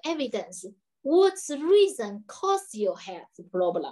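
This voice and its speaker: A woman talking, the background quiet. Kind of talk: interview answer. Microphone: video call.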